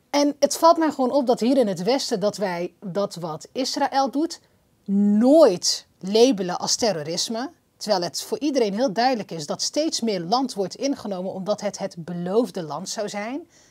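A woman at a fairly slow pace, fairly high pitch and very wide pitch swings, against a quiet background. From Netherlands. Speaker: podcast host. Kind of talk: interview. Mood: earnest, critical. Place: studio. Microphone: lapel.

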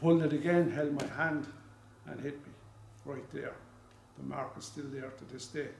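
Speaking with an Irish accent, a man talks at a moderate pace in a flat monotone, leaving long, frequent pauses, with light background noise and audible room echo. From Ireland. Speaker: stuttering awareness campaigner. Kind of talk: public speech. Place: hall.

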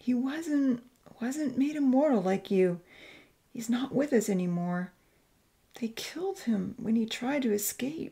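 A woman's put-on character voice, fairly high in pitch with a dark, mellow tone, vocal fry and a slightly husky edge, lively intonation, fairly slow pace.

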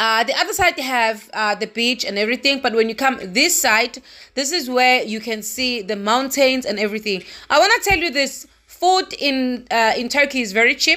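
A woman projects a raised voice at a fairly quick pace. Her tone is bright and sharp, with a quiet background. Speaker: traveler vlogger. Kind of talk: casual vlog chat. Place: car. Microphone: phone near.

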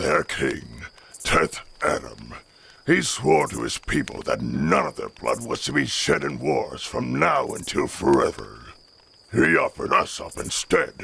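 Speaking in a put-on character voice, a man performs. His pace is fairly slow. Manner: solemn, formal.

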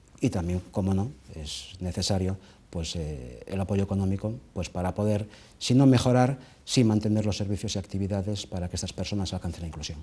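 A man speaks at a fairly quick pace with a dark, mellow tone, a fairly low pitch, ordinary pitch variation and a somewhat breathy quality. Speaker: association president. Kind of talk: interview answer. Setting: TV studio. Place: studio.

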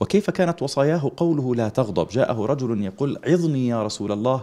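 Dark, mellow tone from a man against a quiet background. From Libya. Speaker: Islamic preacher and teacher. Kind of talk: religious TV interview.

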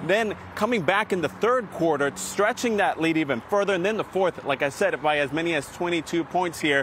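Against light background noise in a dry sound with no echo, a man speaks in an animated tone and a high pitch at a moderate pace, with ordinary pitch variation, very even loudness and hardly any pauses. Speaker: field reporter. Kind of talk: live on-location sports report. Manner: animated, fluent, occasional hesitations. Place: street.

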